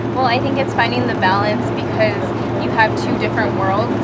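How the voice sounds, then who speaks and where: A woman talks while loud background noise fills the recording. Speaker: university student. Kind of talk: casual chat. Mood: calm, thoughtful. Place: bus.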